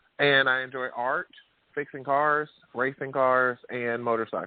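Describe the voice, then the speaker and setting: With a Southern US accent, a man talks in a fairly even intonation. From Alabama. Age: 30s. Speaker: author. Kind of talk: interview. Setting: radio show.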